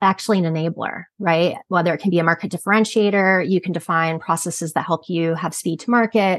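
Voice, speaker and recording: At a fairly quick pace, a woman talks in a plain, everyday voice of medium pitch with ordinary pitch variation. The sound is dry and close with no echo, over a quiet background. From Canada. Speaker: quality and regulatory consultant. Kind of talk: interview.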